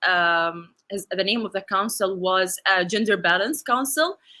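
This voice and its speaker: This speaker has an Arabic accent and a bright, sharp tone, with ordinary pitch variation. The recording is very clean, with a silent background. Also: woman. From UAE. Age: 20s. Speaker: conference speaker, bank technology officer. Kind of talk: conference talk. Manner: halting, many fillers.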